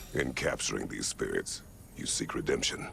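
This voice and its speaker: Putting on a character voice, a man speaks at a moderate pace. Clear background noise runs underneath. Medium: video game. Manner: terse, measured.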